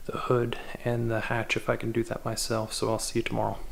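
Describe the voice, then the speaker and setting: Very fast, flat, monotone speech from a man at medium pitch, with noticeable background noise. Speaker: car DIY video maker. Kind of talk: casual vlog narration.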